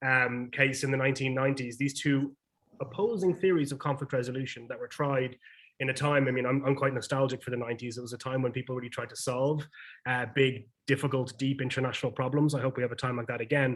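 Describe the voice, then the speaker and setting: A man with an Irish accent, medium-pitched, talking very fast with fairly even intonation. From Ireland. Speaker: peacebuilding NGO director. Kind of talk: panel discussion. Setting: video call.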